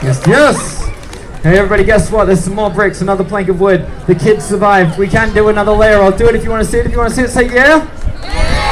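Crowd noise sits in the background as someone speaks at a very fast pace with ordinary pitch variation. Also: man, high pitch for a man. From Australia. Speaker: street performer. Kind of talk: showman patter to a crowd. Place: street. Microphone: camera far.

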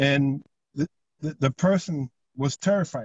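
A man's fairly high-pitched, somewhat breathy voice with ordinary pitch variation, dry with no echo, over a quiet background. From Jamaica. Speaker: community leader. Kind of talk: panel discussion. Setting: video call. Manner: halting, repeats words. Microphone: video call.

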